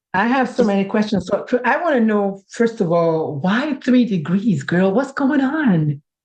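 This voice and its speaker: A somewhat breathy woman speaks at a moderate pace in a fairly high pitch, with very wide pitch swings. Her loudness stays very even and she hardly pauses. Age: 50s. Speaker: podcast host. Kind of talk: casual podcast conversation. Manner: animated.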